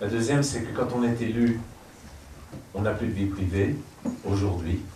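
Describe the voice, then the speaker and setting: A man's medium-pitched voice at a moderate pace with ordinary pitch variation, amid audible room echo and noticeable background noise. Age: 60s. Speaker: painter and former politician. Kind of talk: public interview before audience.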